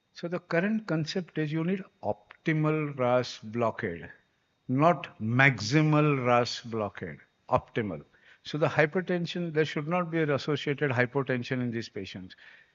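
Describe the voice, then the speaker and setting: At a moderate pace, a man with an unremarkable speaking voice and fairly high pitch talks with lively intonation. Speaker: doctor giving a conference talk. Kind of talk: lecture.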